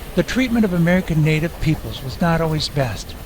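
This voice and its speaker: A man with lively intonation speaks at a fairly quick pace while noticeable background noise plays behind him. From Iowa, US Midwest. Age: 60s. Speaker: motorcycle travel vlogger. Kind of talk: scripted narration.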